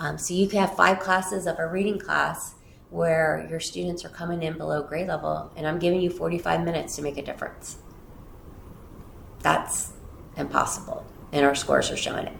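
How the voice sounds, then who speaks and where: A woman talks at a fairly quick pace, with long, frequent pauses. Audible room echo surrounds her voice. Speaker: school district superintendent. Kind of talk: interview. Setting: office, livestreamed interview. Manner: loud.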